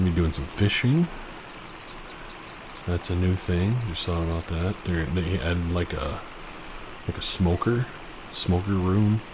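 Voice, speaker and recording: Over noticeable background noise, a soft-spoken man talks in a very deep, low pitch. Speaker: gaming video creator. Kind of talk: gameplay commentary. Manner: casual, halting with fillers.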